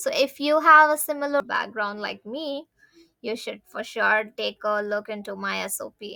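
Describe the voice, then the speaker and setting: Using a Tamil accent, a woman speaks at a moderate pace in a fairly high pitch with a bright, sharp tone, lively intonation and big swings in loudness. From India (Tamil-speaking). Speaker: international student / vlogger. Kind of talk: tutorial.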